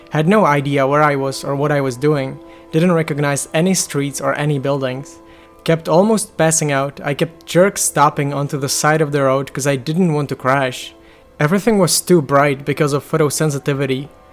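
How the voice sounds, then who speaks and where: A man with fairly even intonation and music in the background. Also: fairly high pitch for a man, moderate pace. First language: non-native English speaker. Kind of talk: educational harm-reduction narration.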